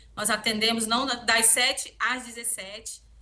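Her tone is bright and sharp. The woman's pitch is fairly high. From Mato Grosso, Brazil (Barra do Garças); Mato Grosso, Brazil. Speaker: HR manager. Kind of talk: interview. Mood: friendly, grateful. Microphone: video call.

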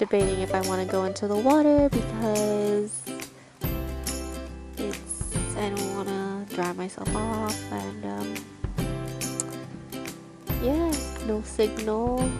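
Over clear background music, a woman speaks very slowly with long, frequent pauses in a dry sound with no echo. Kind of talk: casual vlog chat. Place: tent. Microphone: phone near.

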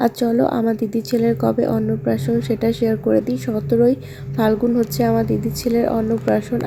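A woman with a very deep, low pitch makes very wide pitch swings while keeping her loudness very even, over noticeable background noise. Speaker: family vlogger. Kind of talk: vlog narration.

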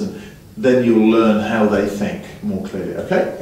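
Strong room echo surrounds a fairly slow delivery with ordinary pitch variation and light background noise. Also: man. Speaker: snooker coach. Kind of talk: lesson instruction to a student.

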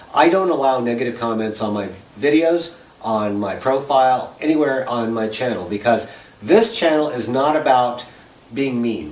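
A man of medium pitch speaks at a moderate pace with ordinary pitch variation, and there is noticeable background noise. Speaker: video blogger running a seed exchange. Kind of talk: casual chat to camera, vlog. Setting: home video recording to camera. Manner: chatty, animated, jokey.

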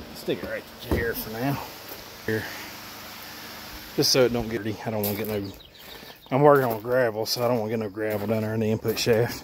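Speaking at a very fast pace with fairly even intonation, a man comes through in a dry sound with no echo, against noticeable background noise. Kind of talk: casual repair tutorial. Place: garage. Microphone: phone near.

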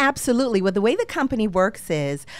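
A woman with an American accent uses lively intonation in a dry recording with no echo. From Boston. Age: 50s. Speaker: luxury romance concierge. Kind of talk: casual interview. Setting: studio. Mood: warm, promotional. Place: studio. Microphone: studio mic.

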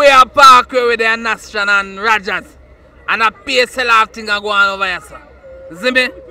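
A man speaks at a moderate pace in a raised, projected, high-pitched voice with fairly even intonation and big swings in loudness. The sound is dry and close with no echo, though noticeable background noise is present. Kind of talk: casual chat. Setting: outdoors.

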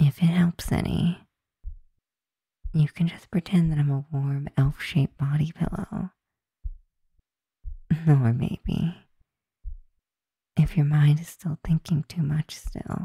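Soft-spoken at a very slow pace with long, frequent pauses, the voice sits in a dry sound with no echo against a quiet background. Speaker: roleplay voice actor reading a written script. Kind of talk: intimate comforting roleplay monologue. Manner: soft, hushed comforting ASMR voice.

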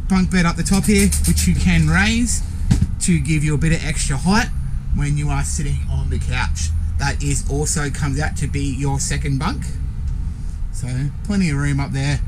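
With noticeable background noise behind him, a man speaks at a moderate pace in a monotone, flat intonation, pausing long and often. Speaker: salesperson showing a caravan. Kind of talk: walkthrough tour commentary. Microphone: phone near.

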